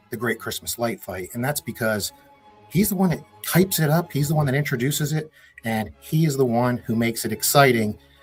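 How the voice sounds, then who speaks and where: Over background music, a man speaks very fast at medium pitch. His tone is upbeat and his intonation lively. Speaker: interview host of a Christmas light show fan channel. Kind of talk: casual talk to camera. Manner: upbeat, friendly.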